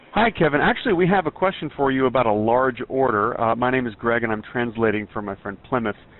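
Talking at a fast pace, a man holds a medium pitch with ordinary pitch variation.

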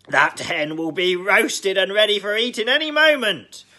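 A put-on character voice shouts, raised and projected, with very wide pitch swings. The pace is moderate. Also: man, high pitch for a man. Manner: shouting, alarmed.

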